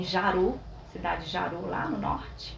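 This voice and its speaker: A woman speaks over noticeable background noise, with audible echo from the room. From Espírito Santo, Brazil (São Mateus). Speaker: physiotherapist. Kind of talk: interview. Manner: soft-spoken.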